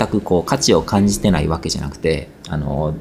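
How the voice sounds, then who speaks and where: Noticeable noise fills the background. A man speaks there at a moderate pace. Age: 40s. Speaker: spiritual podcast host and blogger. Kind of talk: casual monologue answering listener questions. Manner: hesitant, many fillers.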